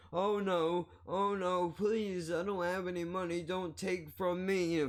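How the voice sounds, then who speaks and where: A man's put-on character voice, high in pitch, monotone and flat, at a fairly slow pace. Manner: timid, pleading.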